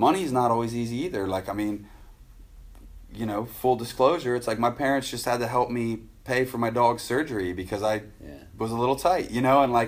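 A man's medium-pitched voice at a very fast pace. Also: ordinary pitch variation. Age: 30s. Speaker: pro BMX rider and judge. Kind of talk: casual interview chat. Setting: garage.

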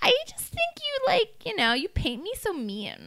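A woman puts on a squeaky character voice, extremely high in pitch. She speaks at a moderate pace. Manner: tough, hard, defensive.

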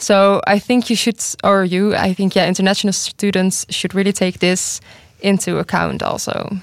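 A woman with a Dutch accent, medium pitch, monotone flat intonation and very even loudness at a moderate pace, on a very clean recording with a silent background. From Netherlands. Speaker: university student. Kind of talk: panel discussion. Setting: studio.

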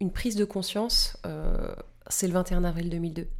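A woman speaks in a dark, mellow tone. Her pace is moderate and her intonation fairly even. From Paris region, France. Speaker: party spokesperson. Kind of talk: interview.

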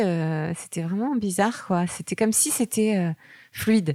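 In a very clean recording with a silent background and a dry, close sound free of echo, a woman of medium pitch talks at a moderate pace with lively intonation. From France, Picardy. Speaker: author. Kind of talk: casual interview. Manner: halting, many repetitions.

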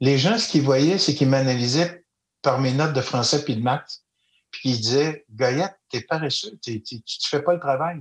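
A man with a Quebec accent and a fairly high, somewhat breathy voice speaks with ordinary pitch variation in a very clean recording with a silent background. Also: moderate pace. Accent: Québécois French. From Quebec, Eastern Townships. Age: 60s. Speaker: storyteller and educator. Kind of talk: interview.

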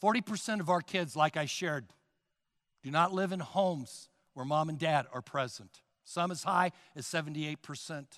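This man has an unremarkable speaking voice, pitched fairly high, with ordinary pitch variation. He speaks at a moderate pace. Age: 60s. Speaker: pastor. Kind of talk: sermon. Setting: church.

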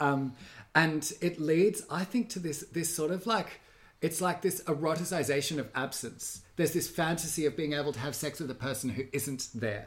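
Man with an Australian accent, fairly high pitch, ordinary pitch variation and a moderate pace. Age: 30s. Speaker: podcast co-host. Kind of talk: casual chat.

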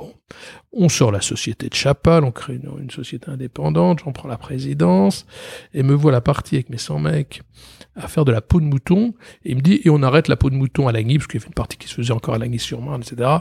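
Very fast and somewhat breathy, a man's medium-pitched voice has a dark, mellow tone, lively intonation and big swings in loudness, recorded dry and close with no echo. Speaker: company president and creative director. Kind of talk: interview. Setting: office.

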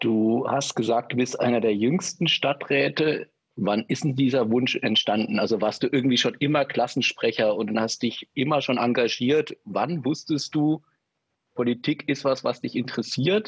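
A man with a normal speaking voice talks at a medium pitch and moderate pace, with very even loudness and ordinary pitch variation, the sound dry and close with no echo against a quiet background. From former East Germany. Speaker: podcast co-host. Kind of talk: casual chat. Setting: video call.

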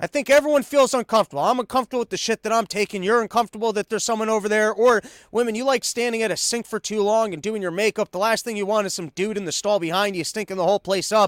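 Loud and very fast with hardly any pauses, a man speaks at a high pitch in a dry, close sound with no echo, on a very clean recording with a silent background. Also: ordinary pitch variation. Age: young. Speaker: podcast host. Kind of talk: casual chat.

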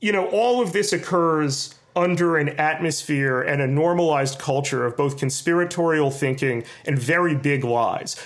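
A man with an American accent and a normal speaking voice talks at a moderate pace, his fairly high pitch showing ordinary variation and his loudness very even. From New York City. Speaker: journalist. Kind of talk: interview.

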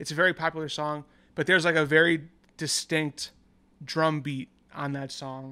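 A man's fairly high, bright and sharp voice with an American accent, monotone and flat in intonation, at a moderate pace with long, frequent pauses and big swings in loudness, in a very clean recording with a silent background. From US Northeast, New York. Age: 20s. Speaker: musician, podcast guest. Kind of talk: casual chat. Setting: in-person in an apartment.

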